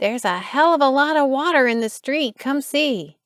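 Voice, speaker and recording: Using a put-on character voice, a woman speaks in a high pitch at a moderate pace with ordinary pitch variation. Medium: read story.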